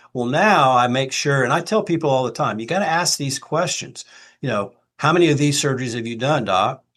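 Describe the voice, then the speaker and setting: A man with a normal speaking voice, fairly high in pitch, talks at a fairly quick pace with lively intonation. The background is quiet. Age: 60s. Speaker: retired orthopedic surgeon and expert witness. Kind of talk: podcast interview. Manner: conversational, with fillers.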